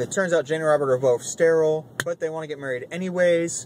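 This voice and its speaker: A man's fairly high-pitched voice with ordinary pitch variation against noticeable background noise. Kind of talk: casual commentary to camera. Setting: in a car.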